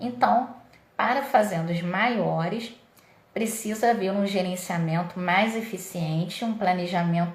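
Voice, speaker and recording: The speaker goes at a fairly slow pace with ordinary pitch variation. Noticeable background noise and audible room echo are present. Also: woman. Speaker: dairy nutrition consultant. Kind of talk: livestream lecture. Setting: live stream.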